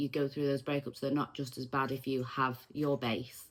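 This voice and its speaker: A woman with a Manchester accent speaks at a very fast pace in a very deep, low pitch on a very clean recording with a silent background. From Manchester, northern England. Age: 40s. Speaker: vlogger. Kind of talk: personal testimony. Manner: casual, with frequent um fillers.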